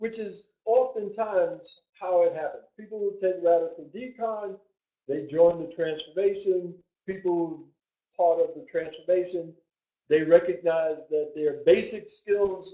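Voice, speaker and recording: A man speaks at a fairly slow pace in a high pitch for a man. His loudness swings widely. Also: ordinary pitch variation. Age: 70s. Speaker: human design teacher. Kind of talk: webinar presentation. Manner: halting.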